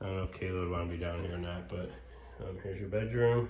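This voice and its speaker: A man with a very deep, low pitch and ordinary pitch variation is heard with audible room echo and light background noise. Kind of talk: casual walkthrough narration. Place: empty room. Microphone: phone near.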